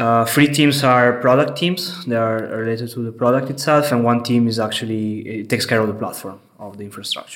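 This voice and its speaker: The speaker moves at a fairly quick pace. Pitch varies in an ordinary way. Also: man, medium pitch for a man. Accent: Italian. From Italy, Venice. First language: Italian. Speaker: head of software engineering. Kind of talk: interview. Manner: hesitant, many fillers.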